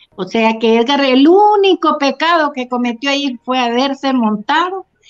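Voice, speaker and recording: A woman's voice with very wide pitch swings at a fairly slow pace, over background music. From Honduras, Santa Bárbara. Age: 60s. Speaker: mother of a detained man. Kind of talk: interview.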